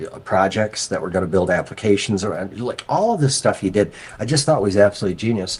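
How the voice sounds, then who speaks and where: Here a man speaks in an American accent at a fairly quick pace. His fairly low voice carries an animated tone. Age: 50s. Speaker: crypto investor. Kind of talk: interview. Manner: animated storytelling, many fillers.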